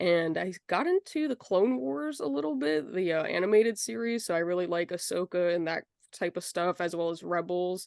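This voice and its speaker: A woman with a normal speaking voice and a fairly low pitch talks at a moderate pace with lively intonation, in a dry, close sound with no echo against a quiet background. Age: 20s. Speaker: collector. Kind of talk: interview.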